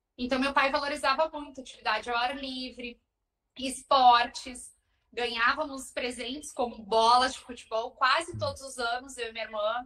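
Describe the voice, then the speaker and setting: This woman's high-pitched voice is bright and sharp, raised and projected at a moderate pace. Her intonation stays monotone and flat while her loudness swings widely. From southern Brazil, Porto Alegre. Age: 30s. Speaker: marathon runner. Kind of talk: podcast interview, personal story.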